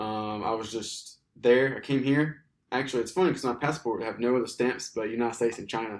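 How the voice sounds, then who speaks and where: With an Alabama accent, a man speaks at a medium pitch and a fairly quick pace, his intonation fairly even. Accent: Southern US (Alabama). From US South, Alabama. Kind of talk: casual chat.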